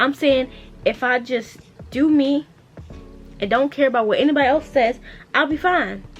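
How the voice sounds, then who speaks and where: With music in the background, a woman talks in a high voice whose pitch varies in an ordinary way. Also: long, frequent pauses. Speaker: small business owner and vlogger. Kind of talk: casual chat. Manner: stutters when unsure; fast, rambling.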